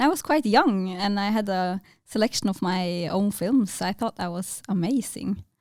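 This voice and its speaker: Someone speaks with a Norwegian accent in a very clean recording with a silent background. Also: woman, medium pitch for a woman, ordinary pitch variation, moderate pace. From northern Norway, Tromsø. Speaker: filmmaker. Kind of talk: interview. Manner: hesitant, many fillers.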